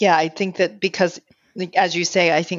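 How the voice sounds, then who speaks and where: This woman has a fairly low pitch. Her intonation is monotone and flat. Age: 50s. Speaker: marriage therapist. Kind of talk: interview.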